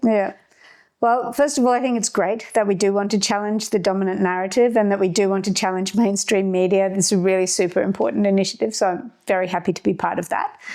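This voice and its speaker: Her words coming at a very fast pace, a woman with an Australian accent speaks at medium pitch in a dark, mellow tone with fairly even intonation. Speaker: activist and ship's captain. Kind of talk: interview.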